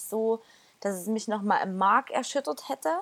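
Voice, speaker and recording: With a normal speaking voice, a woman talks at a medium pitch and ordinary pitch variation. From Erzgebirge, Saxony, Germany. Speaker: church community member. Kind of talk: casual chat.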